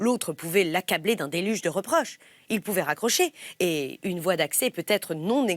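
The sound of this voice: Lively intonation from an unforced reading voice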